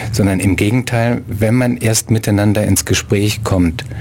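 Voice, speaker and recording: A man's fairly low voice at a moderate pace, with noticeable background noise. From abroad, outside Germany. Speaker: writer and human rights activist. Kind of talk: radio interview.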